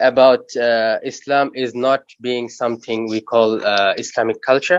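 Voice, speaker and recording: Speaking fairly slowly with an Arabic accent, a man keeps a medium pitch and fairly even intonation in a dry, close sound with no echo. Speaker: audience member. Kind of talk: audience question. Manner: halting.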